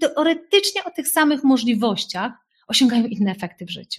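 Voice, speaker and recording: In an animated tone, a woman speaks at a high pitch with very wide pitch swings. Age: 40s. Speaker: life coach. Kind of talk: webinar talk.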